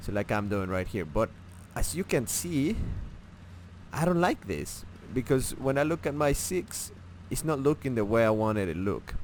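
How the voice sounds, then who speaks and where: With a non-native accent, the speaker keeps a moderate pace, leaves long, frequent pauses and swings the pitch very widely. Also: man, medium pitch for a man. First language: not English. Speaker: gaming tutorial creator. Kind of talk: tutorial. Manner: halting, many fillers and restarts; casual.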